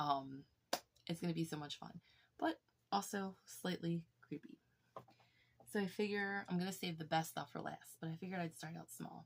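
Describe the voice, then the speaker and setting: Speaking quietly and somewhat breathily, a woman with a fairly low pitch keeps a moderate pace, uses ordinary pitch variation, and leaves long, frequent pauses. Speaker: YouTuber showing her collection. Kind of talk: casual show-and-tell vlog.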